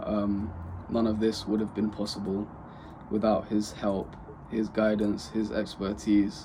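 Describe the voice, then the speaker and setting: A man speaks at a fairly slow pace in a fairly low voice. His tone is dark and mellow, and his intonation is monotone and flat. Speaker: vlogger starting an e-commerce business. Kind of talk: personal vlog talking to camera. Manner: monotonous.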